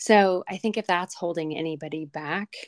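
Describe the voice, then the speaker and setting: On a very clean recording with a silent background, a woman has an ordinary speaking voice, fairly low in pitch. She speaks at a moderate pace with fairly even intonation. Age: 50s. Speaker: podcast host and photographer. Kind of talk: casual interview chat.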